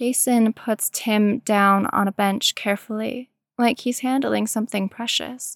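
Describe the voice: The text is given as plain reading aloud, and the background is quiet.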